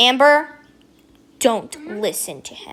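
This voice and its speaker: Using a put-on character voice, a woman speaks at a high pitch and moderate pace with lively intonation and hissing. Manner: hissing, menacing.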